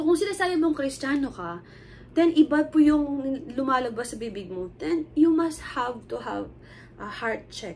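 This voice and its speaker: This woman's voice sits at a high pitch and swings very widely. Room echo is audible. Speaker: lay preacher. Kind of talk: sermon. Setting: recorded video shown to church. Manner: casual code-switching Taglish with fillers.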